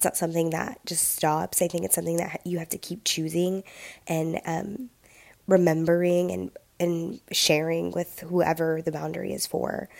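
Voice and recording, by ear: A woman speaks at a moderate pace with a fairly low pitch and a slightly mellow tone. Her voice has vocal fry and little pitch movement.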